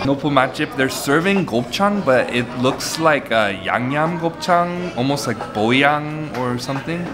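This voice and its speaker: Clear music plays in the background. Over it, a man speaks at a fairly slow pace. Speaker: food vlogger. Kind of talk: casual vlog chat. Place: cafe. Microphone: phone near.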